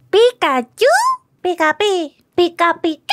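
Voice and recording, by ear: This is a put-on character voice. It is squeaky, with an extremely high pitch. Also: moderate pace.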